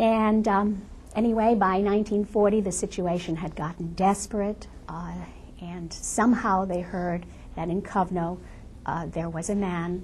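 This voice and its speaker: A woman speaks at a moderate pace with a medium pitch, fairly even intonation, and a somewhat breathy quality. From Lithuania. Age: 70s. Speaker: Holocaust survivor. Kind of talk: testimony.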